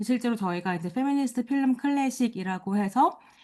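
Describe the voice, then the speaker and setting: The background stays quiet. A woman talks with lively intonation. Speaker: lecturer, film critic. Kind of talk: lecture.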